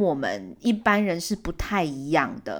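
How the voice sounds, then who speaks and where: Her intonation is lively and her tone relaxed as this woman speaks at a fairly slow pace. The recording is very clean, with a silent background. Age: 30s. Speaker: podcast host. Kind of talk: casual monologue.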